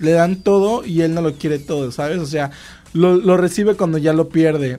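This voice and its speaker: A man is speaking. His pace is moderate. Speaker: podcast co-host. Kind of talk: casual chat.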